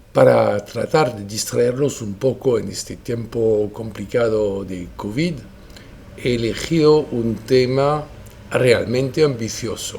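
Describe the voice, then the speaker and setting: A man with a French accent speaks at a very slow pace, his loudness swinging widely. His pitch is medium with ordinary variation, and the recording has audible room echo and noticeable background noise. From France. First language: French (speaking Spanish). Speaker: lawyer. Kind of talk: lecture. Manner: formal.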